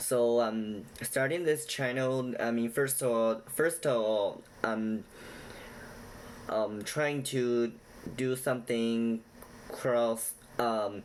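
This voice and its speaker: A man speaks very slowly at a medium pitch, with fairly even intonation and very even loudness. Long pauses come often. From China. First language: not English. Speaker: YouTuber explaining Chinese culture. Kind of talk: casual direct-to-camera talk; storytelling retelling. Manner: halting with many fillers.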